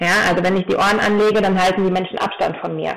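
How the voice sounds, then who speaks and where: Her voice sits at a medium pitch for a woman, and her intonation is fairly even. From Taunus, Hesse, Germany. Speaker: horse trainer and equine osteopath. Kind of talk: podcast interview. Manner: hesitant with many fillers.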